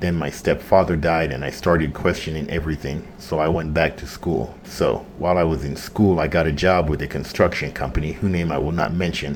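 With a General American accent, a man speaks at a fairly quick pace and a very deep, low pitch. Noticeable background noise is present. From Jamaica. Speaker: podcast host and general contractor. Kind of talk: casual monologue intro. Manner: casual, animated, profane.

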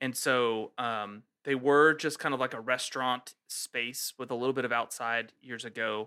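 A man with an American accent at a medium pitch, moderate pace, monotone, flat intonation and a bright, sharp tone, hardly any pauses, on a very clean recording with a silent background. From US Pacific Northwest. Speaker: beer podcast co-host. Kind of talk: casual chat.

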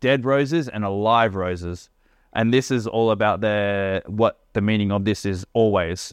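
A man speaks in a normal speaking voice with a fairly low pitch. His pitch varies in an ordinary way, and he keeps a moderate pace. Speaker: podcast host. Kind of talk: casual chat while drinking tequila. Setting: living in Indonesia. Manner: casual, slangy, upbeat.

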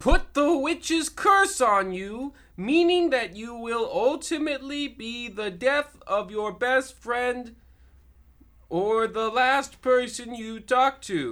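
At a very slow pace, someone puts on a character voice with a fairly high pitch. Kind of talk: comic overacting. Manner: sweetly polite then resentful.

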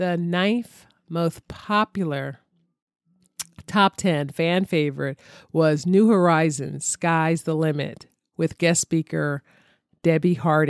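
A woman with an American accent speaks at a fairly slow pace, fairly low in pitch with ordinary pitch variation, in an unremarkable speaking voice. The recording is very clean with a silent background and a dry, close sound with no echo. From Philadelphia, US. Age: 50s. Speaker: podcast host. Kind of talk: casual monologue.

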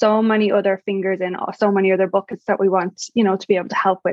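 In an Irish accent, a woman speaks very fast at a medium pitch with monotone, flat intonation. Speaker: podcast host and mom empowerment coach. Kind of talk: podcast interview. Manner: sweet, warm.

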